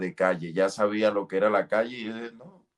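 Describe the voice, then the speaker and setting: This man speaks with a strong Colombian coastal accent. His pitch sits fairly low. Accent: Colombian costeño, strong. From Colombia, Caribbean coast (Santander-born). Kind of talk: testimony. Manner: halting, many fillers.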